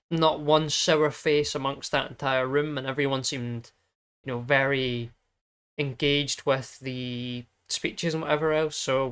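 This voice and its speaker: A fairly high male voice, monotone and flat, at a fairly slow pace. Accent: English. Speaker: podcast host. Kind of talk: casual chat.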